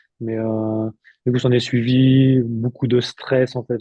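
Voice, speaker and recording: The man's voice sits at a medium pitch with a monotone, flat intonation. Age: 30s. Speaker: therapist, former lift technician. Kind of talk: interview testimony. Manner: halting, many fillers.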